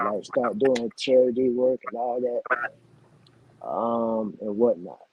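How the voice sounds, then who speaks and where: With a Southern US accent, a man speaks very slowly at a medium pitch and with fairly even intonation. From Mullins, South Carolina, USA. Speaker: recording artist. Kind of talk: interview answer. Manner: casual.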